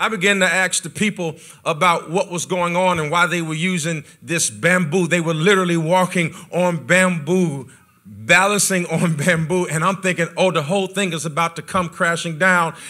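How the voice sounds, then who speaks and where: Over a quiet background, a man talks at a high pitch and moderate pace with fairly even intonation. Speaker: pastor. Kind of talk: sermon. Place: church. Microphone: handheld.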